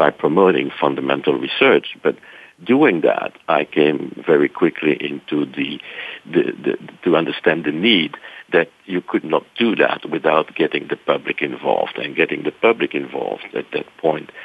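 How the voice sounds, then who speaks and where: A man speaks with a Belgian accent at a moderate pace. There is noticeable background noise. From Belgium (Brussels). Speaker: science center association director. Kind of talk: interview. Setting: radio studio.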